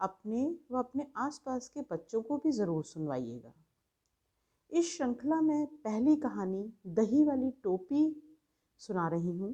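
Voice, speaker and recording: The woman's voice is high, with very wide pitch swings. She leaves long, frequent pauses. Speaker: voice-over artist. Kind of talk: channel introduction to listeners.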